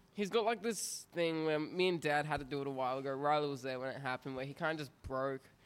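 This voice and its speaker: A man's fairly high-pitched voice with an Australian accent, at a very fast pace with hardly any pauses and ordinary pitch variation. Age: 20s. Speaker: rapper. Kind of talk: casual chat.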